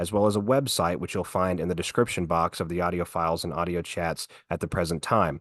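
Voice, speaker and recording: In a quiet setting, a man with a very deep, low pitch talks at a fairly quick pace with fairly even intonation. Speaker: political podcast host. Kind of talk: podcast monologue. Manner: formal.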